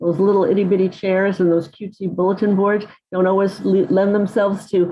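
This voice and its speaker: This woman has an unremarkable speaking voice. Her pitch sits at a medium level. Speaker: literacy professor. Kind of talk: lecture.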